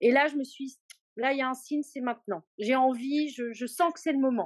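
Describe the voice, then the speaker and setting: A high-pitched woman at a moderate pace. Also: dry, close sound with no echo. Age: 50s. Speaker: client of a weight-loss coaching program. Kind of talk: testimonial interview. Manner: halting with frequent hesitations. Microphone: poor sound quality.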